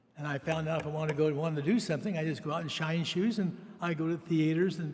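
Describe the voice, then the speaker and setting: Talking at a fairly quick pace with an American accent, a man uses a fairly high pitch with ordinary variation, and audible room echo can be heard. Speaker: university donor. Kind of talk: convocation speech. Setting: arena ceremony. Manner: halting.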